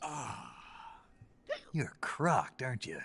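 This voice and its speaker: Putting on a character voice, a man speaks at a fairly high pitch. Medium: video game. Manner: terse, dry.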